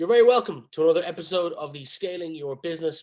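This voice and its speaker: Over a quiet background, a man with a Dublin accent talks at a very fast pace. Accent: Dublin Irish. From Ireland. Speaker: podcast host. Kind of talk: podcast interview.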